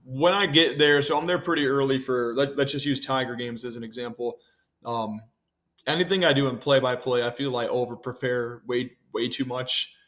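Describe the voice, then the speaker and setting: A man with an unremarkable speaking voice and medium pitch talks at a moderate pace with fairly even intonation. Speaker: public address announcer for a baseball team. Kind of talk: interview answer. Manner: relaxed, conversational.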